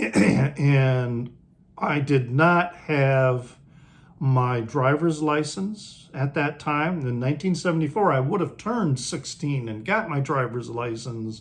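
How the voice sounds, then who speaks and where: A man with an American accent and a fairly high pitch speaks at a very slow pace, somewhat breathy, with ordinary pitch variation. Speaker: music video creator. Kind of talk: casual talk to camera. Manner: casual, hesitant.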